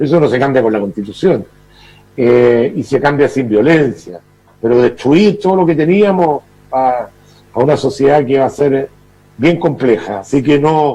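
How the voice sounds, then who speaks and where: A man's dark, mellow voice at a fairly slow pace, with lively intonation, very even loudness and long, frequent pauses. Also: fairly high pitch for a man. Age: 60s. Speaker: political commentator. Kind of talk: TV interview.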